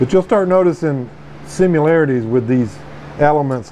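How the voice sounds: A man's dark, mellow tone with ordinary pitch variation over faint background noise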